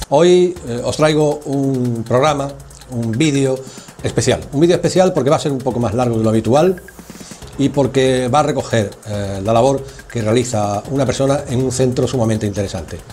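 A man speaks at a moderate pace, his pitch varying in an ordinary way, with light noise in the background. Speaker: program host. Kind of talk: casual talk to camera.

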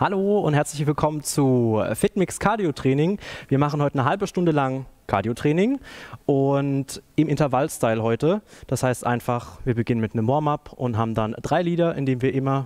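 A man speaks at a moderate pace, the background quiet. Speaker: fitness instructor. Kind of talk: workout instruction. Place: gym. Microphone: headset.

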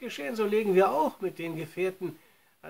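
A passage is read aloud in a natural voice. Pitch moves in an ordinary way.

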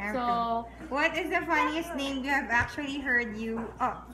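The speech moves at a fairly slow pace with lively intonation over noticeable background noise. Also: woman. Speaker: vlogger. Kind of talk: casual vlog chat. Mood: playful, laughing. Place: home room. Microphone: phone near.

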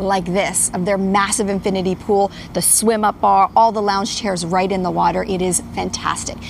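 A woman talks in a monotone, flat intonation with hardly any pauses. The sound is dry with no echo, and there is light background noise. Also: moderate pace. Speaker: TV travel reporter. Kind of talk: live TV report.

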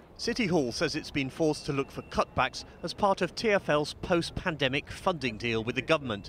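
A man with a British accent talks at a moderate pace in a fairly high voice, his intonation lively and his speech hardly pausing, with a dry, echo-free sound and light background noise. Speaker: political correspondent. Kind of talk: news report.

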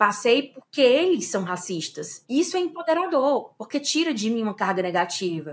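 Speaking at a moderate pace with hardly any pauses, a woman with a fairly high voice makes very wide pitch swings. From Fortaleza, Brazil. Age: 30s. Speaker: anthropologist and anti-racism activist. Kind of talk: interview.

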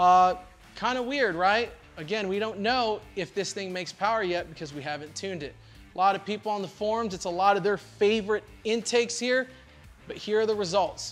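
Faint music plays in the background as a man speaks in a high pitch with ordinary pitch variation. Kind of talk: product review commentary. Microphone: lapel.

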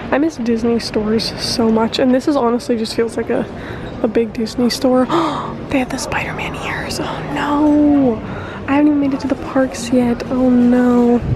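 The voice keeps a fairly even intonation, heard in a dry sound with no echo amid noticeable background noise. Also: woman, high pitch for a woman, moderate pace. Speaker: travel vlogger. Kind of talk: casual vlog chat. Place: shop. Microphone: phone near.

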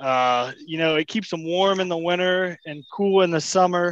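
A man speaks at a high pitch. His pitch variation is ordinary. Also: moderate pace.

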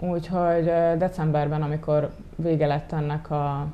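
A woman with a very deep, low pitch and monotone, flat intonation. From Hungary, Gyöngyös; Hungary. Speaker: volunteer photographer; interview guest. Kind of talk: TV interview. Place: studio. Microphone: lapel.

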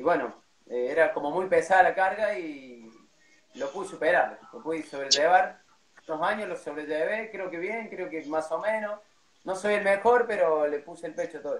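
Loudness swings widely, pitch varies in an ordinary way, the pace is moderate and audible room echo surrounds the voice. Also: man, high pitch for a man. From Córdoba, Argentina. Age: 30s. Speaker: cuarteto band announcer and MC; cuarteto band announcer, MC. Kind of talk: casual interview on a livestream. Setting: video call livestream. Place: home room. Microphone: too quiet, no headphones; phone near.

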